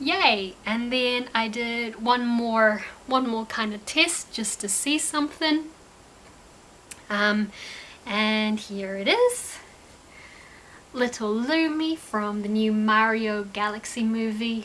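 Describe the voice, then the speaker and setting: Speaking very slowly with long, frequent pauses, a woman with a New Zealand accent uses a fairly high pitch and ordinary pitch variation. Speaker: crochet crafter and vlogger. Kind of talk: casual craft vlog. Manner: casual, hesitant with fillers and repeats.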